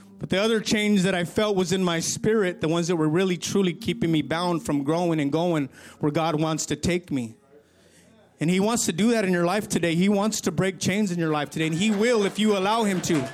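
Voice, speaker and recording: A man with an American accent talks at a high pitch and a fairly quick pace. His pitch variation is ordinary and his loudness very even. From California. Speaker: church member giving testimony. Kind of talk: testimony. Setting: church.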